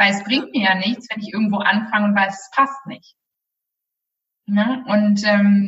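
Here is a woman with a plain, everyday voice. Her pitch is medium and her intonation fairly even. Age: 20s. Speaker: career and life coach. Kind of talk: interview.

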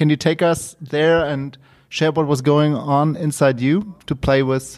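A man at a fairly high pitch, fairly slow, with very even loudness and fairly even intonation. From Cologne, Germany. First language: German. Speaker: co-host, sports fan. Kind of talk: interview. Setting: video call.

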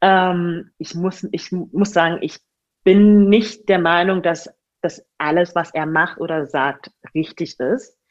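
A woman speaks with a fairly low pitch and ordinary pitch variation. Her pace is very slow, and the background is quiet. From Germany, Magdeburg. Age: 20s. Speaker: online fitness coach. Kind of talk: casual interview chat. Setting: sitting across from host, sun shining in.

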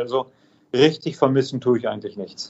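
This man's voice sits at a fairly high pitch. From Germany. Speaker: automotive plant manager. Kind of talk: interview.

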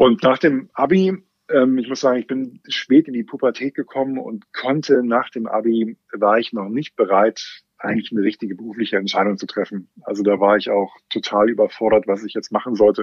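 This man has a normal speaking voice at a medium pitch, with ordinary pitch variation and a moderate pace. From Germany, Westerwald. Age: 40s. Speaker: bank brand strategy manager. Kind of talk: casual interview.

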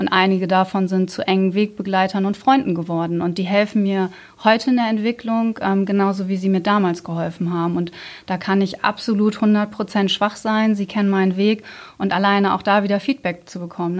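In a very clean recording with a silent background, a woman talks fairly quickly at a medium pitch with fairly even intonation and an unremarkable speaking voice. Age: 30s. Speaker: team manager. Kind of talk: casual interview.

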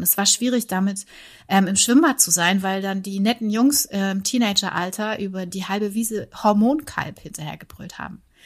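Breathing a little into her words, a woman talks at a fairly quick pace. Her pitch is medium with ordinary variation, on a very clean recording with a silent background. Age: 40s. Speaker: former airline pilot and yoga teacher. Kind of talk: casual interview chat. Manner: halting, with repetitions.

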